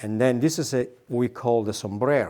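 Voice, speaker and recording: A man talks at a fairly slow pace with ordinary pitch variation and a medium pitch. He has a plain, everyday voice. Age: 60s. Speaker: wool mill worker. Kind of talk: factory tour explanation.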